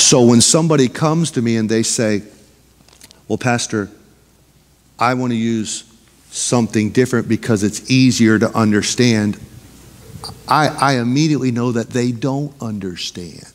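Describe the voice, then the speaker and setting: With an animated tone and long, frequent pauses, a man speaks at a moderate pace. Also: ordinary pitch variation. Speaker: pastor. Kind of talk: sermon, Bible study teaching. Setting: church. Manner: animated, pulpit-style exhortation with rhetorical questions. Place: church.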